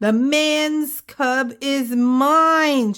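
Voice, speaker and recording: Using a put-on character voice, a woman growls at a high pitch. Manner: growling, fierce.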